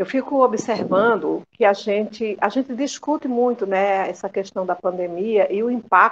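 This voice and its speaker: A woman speaks at medium pitch in an unremarkable speaking voice with ordinary pitch variation. Her pace is fairly slow against a quiet background. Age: 60s. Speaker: retired domestic worker and union leader. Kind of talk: interview conversation.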